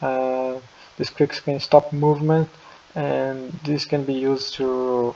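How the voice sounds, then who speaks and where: A man at medium pitch, with a non-native accent, monotone, flat intonation, a fairly slow pace and noticeable background noise. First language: not English. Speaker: martial artist, video creator. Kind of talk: casual tier-list commentary. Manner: halting, many fillers and restarts.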